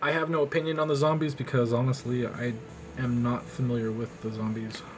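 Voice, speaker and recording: A man with medium pitch talks at a fairly quick pace with ordinary pitch variation. Music plays in the background, and the room echo is audible. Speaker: artist streaming drawing session. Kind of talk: casual live-stream commentary while drawing. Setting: live stream.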